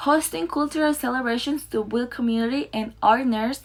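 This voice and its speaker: A woman at a fairly high pitch and moderate pace, with ordinary pitch variation. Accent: non-native. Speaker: student teacher. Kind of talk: presentation. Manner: halting.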